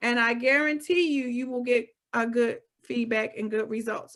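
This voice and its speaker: A woman speaks loudly at a moderate pace with ordinary pitch variation. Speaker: real estate broker. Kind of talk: webinar presentation. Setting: video call. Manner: clear enunciation.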